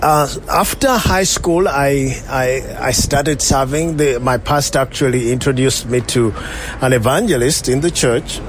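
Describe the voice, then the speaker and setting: Against noticeable background noise, a man talks at a medium pitch and moderate pace with ordinary pitch variation. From Uganda, near Kampala. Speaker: pastor. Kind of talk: interview testimony.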